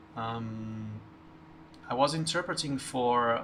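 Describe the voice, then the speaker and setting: A man's medium-pitched voice comes through with noticeable background noise and audible echo from the room. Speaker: gaming streamer. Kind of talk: casual chat. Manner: halting, many fillers.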